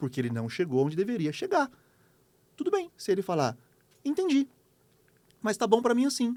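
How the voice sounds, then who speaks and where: With a dark, mellow tone and a high pitch, a man talks at a fairly quick pace, his voice making very wide pitch swings between long, frequent pauses. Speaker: leadership trainer. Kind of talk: interview podcast. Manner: fast.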